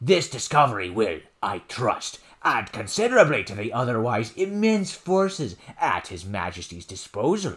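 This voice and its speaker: A man's put-on character voice at medium pitch, with very wide pitch swings and a moderate pace. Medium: read story. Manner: formal, courtly.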